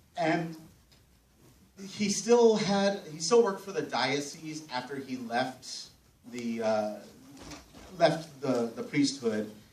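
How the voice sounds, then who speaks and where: Speaking very slowly with an American accent, a man uses a fairly high pitch, very wide pitch swings, big swings in loudness and long, frequent pauses, with audible room echo. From US, Mexican American family. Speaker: film festival panel moderator. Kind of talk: live panel talk with anecdote. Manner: halting, many fillers and restarts.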